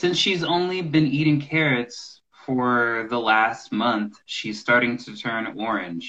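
His voice sits at a medium pitch, with lively intonation. It is an unremarkable speaking voice from a man. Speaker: English teacher guest. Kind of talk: casual video call interview. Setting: video call.

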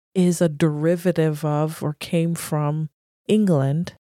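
A woman speaks in a flat monotone with a dark, mellow tone and fairly low pitch, the recording very clean with a silent background and a dry, close sound with no echo. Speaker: podcast co-host. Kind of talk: casual chat.

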